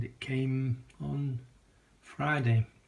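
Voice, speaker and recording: A man with a British accent and fairly even intonation. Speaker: video collector vlogger. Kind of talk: casual vlog. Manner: hesitant with many fillers.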